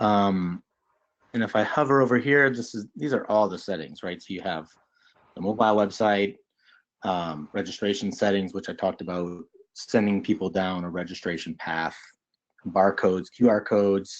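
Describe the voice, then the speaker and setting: Fairly low in pitch, a man with an unremarkable speaking voice talks at a moderate pace over a quiet background. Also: ordinary pitch variation. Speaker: nonprofit CRM panelist demoing software. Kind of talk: software demo on webinar panel.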